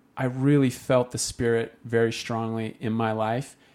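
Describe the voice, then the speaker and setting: A man with a Utah accent at a very slow pace, medium in pitch, on a very clean recording with a silent background. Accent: Utah American English. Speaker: faith story guest. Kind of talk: interview testimony.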